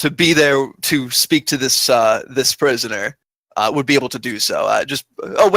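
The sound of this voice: An unforced reading voice over a quiet background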